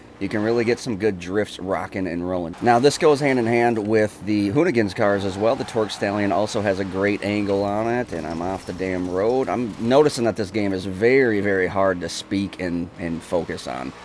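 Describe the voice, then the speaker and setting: Moderate pace and ordinary pitch variation from a man, with noticeable background noise. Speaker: gaming YouTuber. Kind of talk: live gameplay commentary review. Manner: casual, occasionally halting while concentrating; animated.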